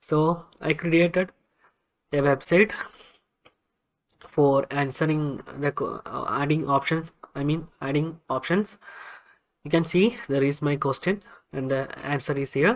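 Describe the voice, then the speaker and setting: A fairly slow delivery in a Keralan accent, with long, frequent pauses. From India, Kerala. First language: Malayalam. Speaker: web developer, tech YouTuber. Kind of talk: tutorial. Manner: halting, many fillers.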